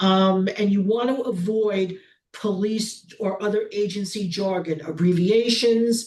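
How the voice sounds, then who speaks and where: A woman speaks in a New York accent at a fairly slow pace. Her loudness stays very even. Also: medium pitch for a woman, fairly even intonation. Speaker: prosecutor. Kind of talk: webinar presentation.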